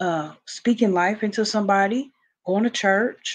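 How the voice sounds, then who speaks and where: Fairly slow speech from a woman, with ordinary pitch variation. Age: 30s. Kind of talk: casual Bible devotional talk to camera. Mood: warm, fervent, encouraging. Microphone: video call.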